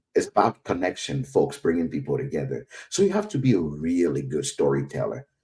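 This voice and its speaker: At a fairly quick pace, a man speaks with an African accent. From West Africa. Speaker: whiskey educator. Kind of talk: interview.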